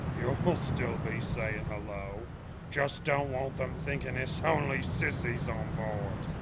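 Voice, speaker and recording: A man does a put-on character voice at medium pitch and a fairly slow pace. Loud background noise fills the recording. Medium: audio drama. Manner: gruff, blunt.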